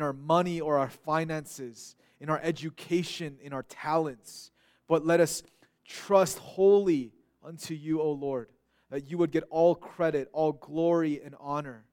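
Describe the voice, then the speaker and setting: In an American accent, a man speaks with a fairly high pitch. His pace is fairly slow and his intonation fairly even. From Korean American community, US. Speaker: pastor. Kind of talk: sermon. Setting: church. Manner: halting, frequent repetitions.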